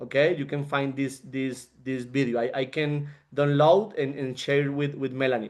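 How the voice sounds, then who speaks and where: A man with a non-native accent speaks at a fairly high pitch against a quiet background. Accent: non-fluent English. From Colombia. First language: Spanish. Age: 30s. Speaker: network marketing leader and engineer. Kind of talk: motivational talk on a group call. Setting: group call. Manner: halting, with frequent repetitions.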